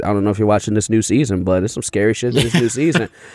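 A man with an American accent talks in a plain, everyday voice, with a fairly low pitch and ordinary pitch variation. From Chicago. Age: 30s. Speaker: comedian. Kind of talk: casual chat.

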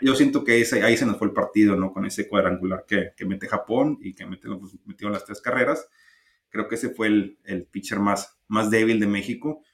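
A man talks at a moderate pace in a normal speaking voice. His intonation is fairly even, while his loudness swings a lot. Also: fairly low pitch for a man. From Mexico. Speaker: baseball podcast co-host. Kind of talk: casual chat.

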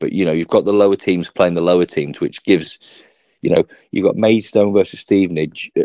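A man with an English accent at a fairly quick pace, in a dry, close sound with no echo. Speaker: sports podcast host. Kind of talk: casual chat.

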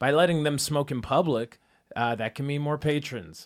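On a very clean recording with a silent background, a man with a normal speaking voice and a fairly high pitch talks at a fairly quick pace. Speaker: debate moderator. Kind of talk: comedic debate moderating. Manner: sarcastic, jokey.

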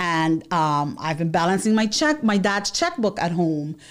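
A woman with an American accent uses a normal speaking voice, fairly low in pitch and fairly slow in pace, on a very clean recording with a silent background. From New York City, the Bronx. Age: 40s. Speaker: accountant and financial literacy educator. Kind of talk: monologue to camera. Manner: rambling with fillers and repetitions.

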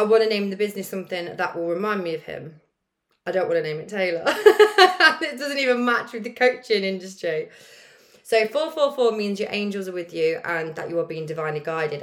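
At a fairly quick pace, a woman speaks in a medium pitch with very wide pitch swings. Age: late 20s, turning 30. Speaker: podcast host, life coach. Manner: casual, chatty.

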